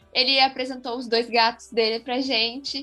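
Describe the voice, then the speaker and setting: A woman talks at a fairly slow pace. Background music accompanies her. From interior of Rio Grande do Sul, Brazil. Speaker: engineering student, co-host. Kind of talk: casual chat.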